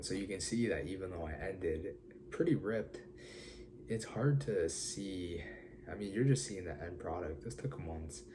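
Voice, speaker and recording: A man's very deep, low voice carries a dark, mellow tone and vocal fry, moving through very wide pitch swings. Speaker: fitness vlogger. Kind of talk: casual talk to camera.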